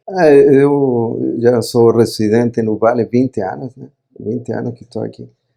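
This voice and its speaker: In a Chilean accent, the speaker talks at a fairly slow pace with big swings in loudness. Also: man. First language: Spanish (speaking Portuguese). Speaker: company CEO. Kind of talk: podcast interview.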